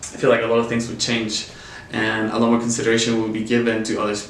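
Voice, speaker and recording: A man with a slight Chilean accent speaks at a medium pitch, with audible room echo and noticeable background noise. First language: Spanish. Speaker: nonprofit worker. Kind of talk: interview.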